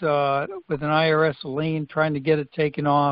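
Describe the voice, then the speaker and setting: A man with a normal speaking voice talks at a fairly high pitch and moderate pace. The background is quiet and the sound is dry with no echo. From Washington state. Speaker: caller asking a question. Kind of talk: call-in question. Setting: phone call. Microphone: phone line.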